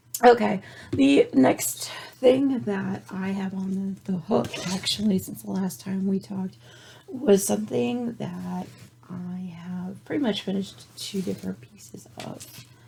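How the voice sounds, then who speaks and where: A woman with a medium pitch talks at a fairly slow pace with lively intonation amid noticeable background noise. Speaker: knitting and crochet podcaster. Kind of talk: casual show-and-tell. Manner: chatty, with false starts.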